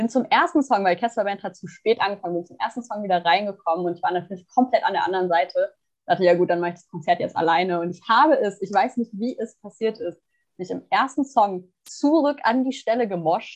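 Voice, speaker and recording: A woman speaks in a normal speaking voice. Her pitch sits in the medium range, with lively intonation. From Germany, small town. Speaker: podcast co-host, psychology student. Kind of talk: casual chat.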